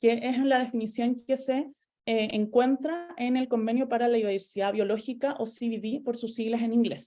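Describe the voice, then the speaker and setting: In a Chilean accent, a speaker with a dark, mellow tone and fairly even intonation goes at a fairly quick pace over a quiet background. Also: woman. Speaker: environmental lawyer. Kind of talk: lecture. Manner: fast.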